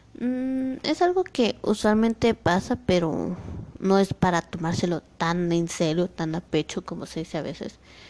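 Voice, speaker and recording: Speaking at a fairly slow pace, a woman uses a medium pitch and lively intonation, and the sound is dry and close with no echo. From Guatemala. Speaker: podcast host. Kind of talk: motivational monologue. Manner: halting.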